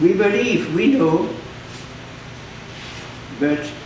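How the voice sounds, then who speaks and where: With noticeable background noise behind him, a man speaks at a very slow pace, his pitch swinging very widely. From Belgium. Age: 80s+. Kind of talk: sermon.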